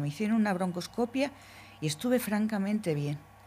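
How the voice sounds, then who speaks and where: A woman speaks in a dark, mellow tone. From Spain, Logroño (La Rioja). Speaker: COPD patient. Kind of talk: patient testimony.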